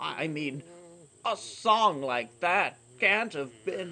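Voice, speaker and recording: In a put-on character voice, a man talks very slowly at a high pitch. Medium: audio drama.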